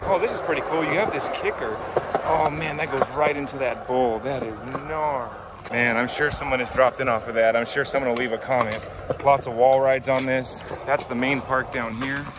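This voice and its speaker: Fairly even intonation at a fairly quick pace, with a dry sound with no echo and noticeable background noise. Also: man. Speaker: skateboarder vlogger. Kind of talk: casual vlog tour commentary. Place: street. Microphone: phone near.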